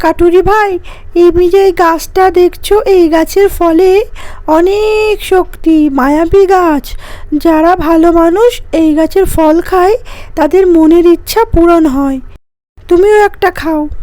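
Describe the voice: A cartoonish character voice, pitched extremely high, speaks at a very slow pace.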